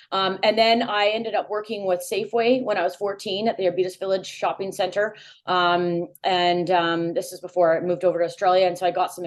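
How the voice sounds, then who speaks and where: Against a quiet background, a woman with a normal speaking voice talks at a fairly quick pace and medium pitch with ordinary pitch variation. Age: 40s. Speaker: food brand consultant. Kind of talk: casual chat.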